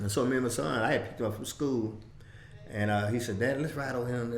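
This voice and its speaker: With audible room echo and noticeable background noise, a man talks at a very fast pace. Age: 70s. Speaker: civil rights veteran. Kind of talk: interview. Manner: halting.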